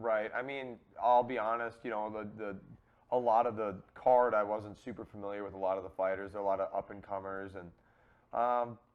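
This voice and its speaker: Delivered at a fairly quick pace, the speech has an American accent and fairly even intonation. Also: man, fairly low pitch for a man. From Minnesota, Twin Cities suburb. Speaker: MMA fighter. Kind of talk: casual chat. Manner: halting.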